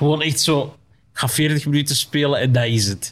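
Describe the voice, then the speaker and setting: Somewhat breathy and fairly high for a man, his voice carries a Flemish accent and moves at a fairly slow pace. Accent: Flemish Dutch. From Flanders, Belgium. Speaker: comedian. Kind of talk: casual chat.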